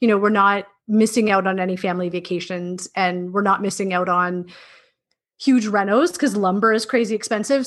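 This woman has an ordinary speaking voice with a Canadian accent and a medium pitch. She talks at a moderate pace over a quiet background. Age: 30s. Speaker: middle school teacher. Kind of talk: casual interview.

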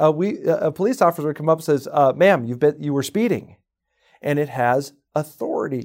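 A plain, everyday voice: a man's fairly high pitch, ordinary pitch variation, fairly quick pace, and a very clean recording with a silent background. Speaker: real estate sales trainer. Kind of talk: training podcast talk.

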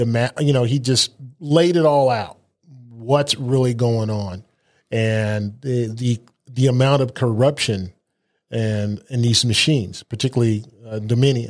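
A man with an American accent speaks fairly slowly at a medium pitch with fairly even intonation. He has a normal speaking voice. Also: very clean recording, silent background. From Germany (US military family). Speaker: radio show host and state legislator. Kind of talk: political talk show interview.

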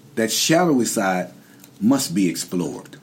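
Noticeable background noise accompanies a man with a North Carolina accent who talks at a very slow pace, his pitch swinging very widely. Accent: Southern US (North Carolina). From US South, Durham, North Carolina. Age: 60s. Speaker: formerly incarcerated man sharing his experience. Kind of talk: interview.

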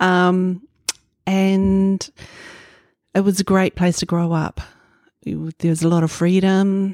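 A woman with a New Zealand accent speaks very slowly in a dark, mellow tone, her intonation monotone and flat, with long, frequent pauses and a dry, close sound with no echo. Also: medium pitch for a woman. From New Zealand, Northland (Hokianga). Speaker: quilt pattern designer. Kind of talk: interview.

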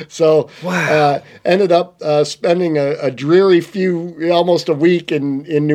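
This man has a fairly high pitch and an American accent. Noticeable background noise runs behind him. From Michigan. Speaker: fishing tackle sales rep and former fly fishing guide. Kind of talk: casual chat. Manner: halting.

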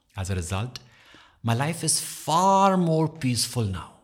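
A somewhat breathy male voice with very wide pitch swings, on a very clean recording with a silent background. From India (Dehradun, Uttarakhand). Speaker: podcast host and content creator. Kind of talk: solo self-help podcast monologue.

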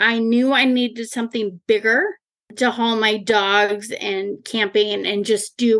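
A woman with an American accent and a fairly high pitch uses a normal speaking voice, talking at a fairly slow pace with fairly even intonation. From Eastern Washington, US Pacific Northwest. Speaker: car enthusiast and rallycross driver. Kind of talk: casual interview chat.

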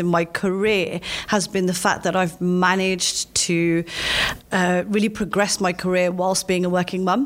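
The speaker has a London accent and a fairly slow pace. Noticeable background noise sits behind the voice. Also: woman. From London, England. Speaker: lawyer and chief privacy officer. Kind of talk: interview.

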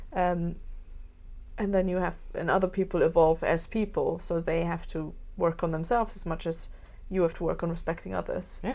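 A woman with a German accent, fairly low in pitch, at a moderate pace with fairly even intonation. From Germany. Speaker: podcast host. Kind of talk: casual interview chat.

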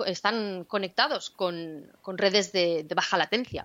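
A woman with a Spanish accent speaks at a fairly slow pace, her medium pitch showing ordinary variation. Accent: Spanish from Spain. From Spain. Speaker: cloud developer advocate, podcast co-host. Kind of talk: casual tech chat.

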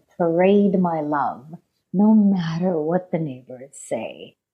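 A woman with a fairly low pitch and ordinary pitch variation has an unremarkable speaking voice. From India, raised in Canada. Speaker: singer-songwriter musician. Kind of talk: radio interview.

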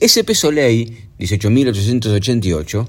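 A man talks, his pitch swinging very widely. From Argentina. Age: 50s. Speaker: podcaster. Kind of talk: personal storytelling monologue. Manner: casual, conversational.

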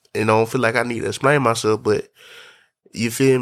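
The speaker is a man at medium pitch. He talks at a very fast pace. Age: 20s. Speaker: podcast host. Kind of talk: casual monologue. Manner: animated.

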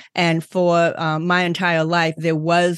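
A woman's fairly low voice in an American accent, dry and close with no echo, over a quiet background. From Boston area, Massachusetts. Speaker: author and advocate, podcast host.

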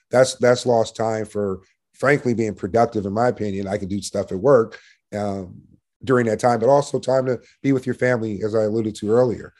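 At a fairly quick pace, a man of medium pitch talks with fairly even intonation against a quiet background. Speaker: sales manager. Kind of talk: casual interview. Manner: assertive, sales-like, coach-like.

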